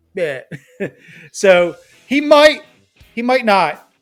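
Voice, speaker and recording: Music plays in the background. A man with a New Jersey accent talks with lively intonation. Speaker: fantasy football podcast co-host. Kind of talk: casual chat.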